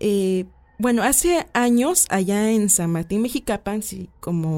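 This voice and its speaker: Speaking at a fairly slow pace, a woman with a dark, mellow tone uses ordinary pitch variation. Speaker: paranormal folklore page creator. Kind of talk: radio interview. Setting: studio.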